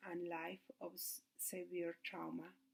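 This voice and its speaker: Someone with a Mexican accent speaks at a fairly slow pace. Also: woman. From Mexico City. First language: Spanish. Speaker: student. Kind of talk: class presentation. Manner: halting.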